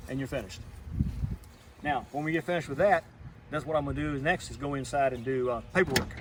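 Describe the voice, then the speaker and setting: Speaking at a very fast pace with long, frequent pauses, a man with a fairly high pitch and fairly even intonation is heard over noticeable background noise. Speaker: pest control technician. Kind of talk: tutorial. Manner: stuttering; casual.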